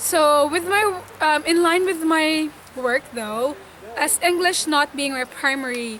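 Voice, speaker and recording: With noticeable background noise behind her, a woman with a Visayan Filipino accent speaks in a raised, projected voice, high in pitch with ordinary pitch variation. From Philippines, Visayas. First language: Bisaya. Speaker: nurse. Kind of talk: interview testimony.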